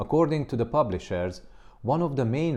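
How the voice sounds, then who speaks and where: A man speaks with a non-native accent. His tone is dark and mellow, and his intonation is lively. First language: not English. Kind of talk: commentary monologue.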